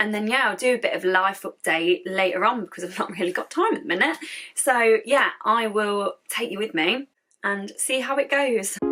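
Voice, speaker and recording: Speaking with an English accent, a woman has a fairly high pitch and lively intonation. She keeps a moderate pace. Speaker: YouTuber. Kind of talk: vlog. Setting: hotel room.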